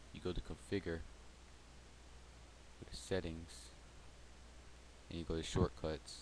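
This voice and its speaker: A man talks in a very deep, low pitch with vocal fry, ordinary pitch variation and big swings in loudness. His pace is fairly slow with long, frequent pauses, and the sound is dry with no echo over light background noise. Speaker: gamer making a tutorial. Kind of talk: software tutorial narration. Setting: close to microphone. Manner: soft-spoken.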